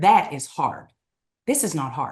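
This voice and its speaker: In a strong eastern Kentucky accent, a woman speaks with an animated tone at a moderate pace. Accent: strong eastern Kentucky Appalachian. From eastern Kentucky, Appalachia. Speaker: direct sales leader. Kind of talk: podcast interview.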